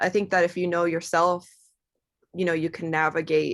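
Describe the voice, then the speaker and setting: Recorded very cleanly against a silent background, a woman with an American accent speaks at a fairly low pitch. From US South, Georgia (Atlanta area). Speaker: singer in a rock band. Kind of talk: podcast interview.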